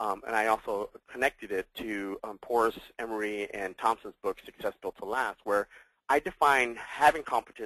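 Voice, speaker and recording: A man's bright, sharp voice at a medium pitch, with ordinary pitch variation and a dry, close sound with no echo. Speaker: guest lecturer. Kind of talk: webinar lecture. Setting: webinar, seated. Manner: fast; animated.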